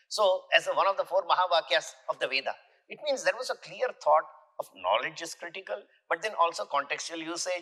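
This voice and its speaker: A man with an Indian accent at a fairly quick pace, with a dry, close sound with no echo. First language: an Indian language, not English. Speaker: university vice chancellor. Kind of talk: podcast interview. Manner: halting, with many self-corrections.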